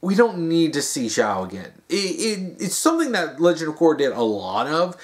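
With the background quiet, a man's pitch swings very widely as he talks at a moderate pace. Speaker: video commentator. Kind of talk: casual vlog chat. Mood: mocking, exasperated. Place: home room. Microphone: phone near.

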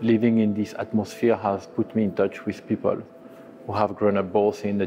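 Faint music plays in the background. A man speaks in a fairly low, monotone, flat voice. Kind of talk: interview answer. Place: hall.

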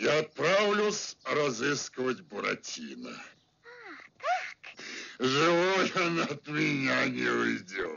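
A man puts on a raspy character voice at a fairly high pitch. He moves at a fairly slow pace with long, frequent pauses. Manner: menacing, greedy.

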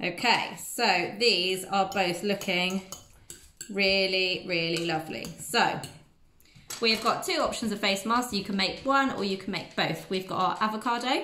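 A woman talks at a fairly slow pace with ordinary pitch variation, over light background noise and audible room echo. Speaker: presenter. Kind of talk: tutorial. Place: kitchen. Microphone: phone near.

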